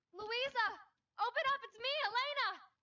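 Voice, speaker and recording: This is a put-on character voice that sounds female and squeaky. Its pitch is extremely high. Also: moderate pace. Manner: shouting.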